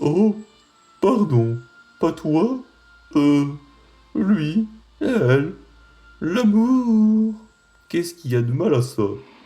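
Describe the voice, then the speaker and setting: A man uses a put-on character voice with a high pitch and very wide pitch swings. He speaks at a very slow pace. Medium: fan dub. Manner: warm, bumbling.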